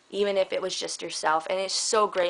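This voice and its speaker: A woman is speaking. Her pace is fairly quick. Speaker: vlogger. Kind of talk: casual vlog monologue. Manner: animated.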